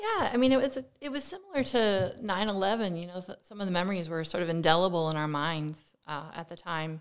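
Speaking in an American accent with a normal speaking voice, this speaker goes at a fairly quick pace with hardly any pauses and big swings in loudness. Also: woman, medium pitch for a woman. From Pennsylvania, Lehigh Valley. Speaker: architect. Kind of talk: interview conversation.

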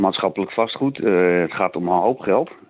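The speaker is a man. His pitch sits fairly low. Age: 50s. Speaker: local councillor. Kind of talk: radio interview. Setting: phone call. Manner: hesitant, many filler sounds.

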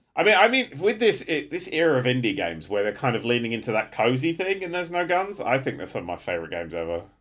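A man at a very fast pace, medium in pitch, with very wide pitch swings and vocal fry. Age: 30s. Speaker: podcast co-host. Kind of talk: casual chat.

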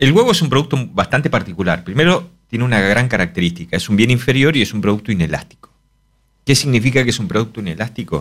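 A man talks at a very fast pace in a medium pitch. His pitch swings very widely. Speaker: economist. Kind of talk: casual chat.

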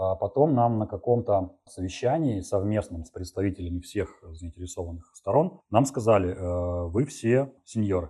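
A man's fairly low, somewhat breathy voice with a dark, mellow tone and lively intonation, at a moderate pace with hardly any pauses, over a quiet background. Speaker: software developer. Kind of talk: interview.

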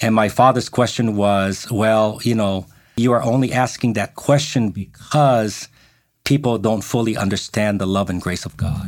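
In a very clean recording with a silent background, a man with an American accent speaks at a moderate pace, his medium pitch showing ordinary variation. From Japan, then United States from 13. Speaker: pastor. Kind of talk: interview conversation. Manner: hesitant, many filler words.

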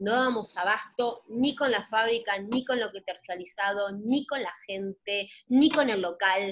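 A woman speaks in a plain, everyday voice at a fairly high pitch, with ordinary pitch variation, a fairly slow pace and hardly any pauses. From Argentina. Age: 20s. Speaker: entrepreneur. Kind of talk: interview.

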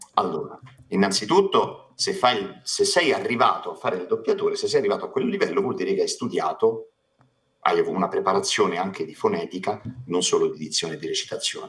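Loudness swings a lot in this man's speech. He talks at a fairly quick pace. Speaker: voice actor. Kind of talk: casual chat. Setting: live stream.

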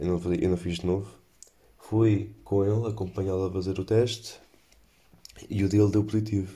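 A man with a European Portuguese accent speaks at a moderate pace with long, frequent pauses. His fairly low voice is dark, mellow and somewhat breathy, with monotone, flat intonation. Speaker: podcaster. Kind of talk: casual chat.

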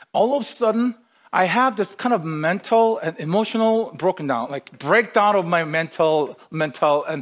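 A man speaks with a non-native accent and very wide pitch swings. The background is quiet. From outside North America, moved to Canada. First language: not English. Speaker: pastor. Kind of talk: sermon. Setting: online livestreamed service.

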